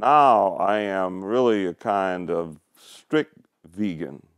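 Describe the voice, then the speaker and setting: A man speaks at a very slow pace in a very deep, low voice, dry and close with no echo, on a very clean recording with a silent background. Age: 70s. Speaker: longtime vegan. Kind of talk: interview.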